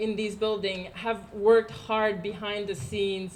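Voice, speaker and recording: With a Quebec French accent, a woman of medium pitch speaks at a fairly slow pace in a room with audible echo. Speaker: housing cooperative resident. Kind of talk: public speech. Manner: halting.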